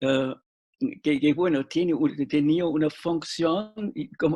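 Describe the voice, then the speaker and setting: Speaking very slowly, a man with a high pitch uses lively intonation in a dry, close sound with no echo. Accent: non-native. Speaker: literature professor and journal director. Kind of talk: interview panel discussion. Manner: halting, many fillers and restarts.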